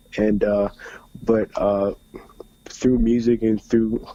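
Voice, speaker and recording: Speaking very slowly, a man with an American accent keeps a medium pitch. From US South, Atlanta, Georgia. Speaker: rapper. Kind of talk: radio interview. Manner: halting, many fillers.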